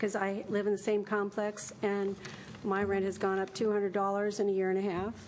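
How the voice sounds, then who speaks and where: The delivery moves at a fairly quick pace with a monotone, flat intonation. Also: woman. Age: 70s. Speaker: hairdresser speaking at public comment. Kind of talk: public comment at council meeting. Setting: city council meeting.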